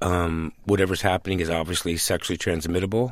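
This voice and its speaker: The recording is very clean, with a silent background. A man speaks with a very deep, low pitch and fairly even intonation. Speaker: AIDS activist. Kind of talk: radio interview.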